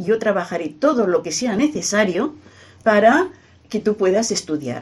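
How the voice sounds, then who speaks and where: This is a plain, everyday voice with lively intonation, delivered at a moderate pace. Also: woman. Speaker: retired teacher and scholar of a saint. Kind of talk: radio interview. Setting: at her home.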